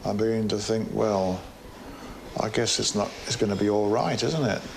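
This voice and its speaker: Over noticeable background noise and audible room echo, a man with a British accent talks at a moderate pace with a fairly low pitch, fairly even intonation and very even loudness. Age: 80s+. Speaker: cancer patient. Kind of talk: interview.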